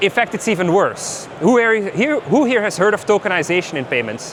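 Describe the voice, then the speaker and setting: Noticeable background noise surrounds a man speaking at a high pitch. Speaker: tech company founder giving conference talk. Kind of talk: conference talk. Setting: stage with audience. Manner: fast.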